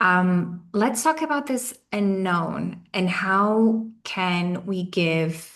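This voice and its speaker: A woman speaks with a strong Portuguese accent. Her voice sits at a medium pitch with ordinary pitch variation. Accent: thick Portuguese. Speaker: webinar host, company CEO. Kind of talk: online panel interview.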